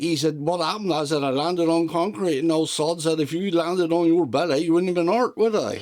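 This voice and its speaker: With a West Country accent, a man speaks at a high pitch with ordinary pitch variation over noticeable background noise. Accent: broad West Country. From South West England. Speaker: retired farm mechanic. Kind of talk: interview answer.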